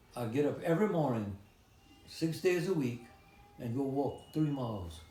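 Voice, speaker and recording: Here a man talks at a fairly high pitch with very wide pitch swings. Noticeable background noise and audible room echo surround him. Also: moderate pace. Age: 90s. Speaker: retired postal worker and Navy veteran. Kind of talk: interview.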